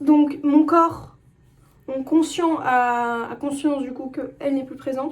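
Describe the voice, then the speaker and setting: The speech comes very slowly in a monotone, flat intonation, with big swings in loudness. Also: woman. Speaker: vlogger. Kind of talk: casual monologue vlog. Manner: halting.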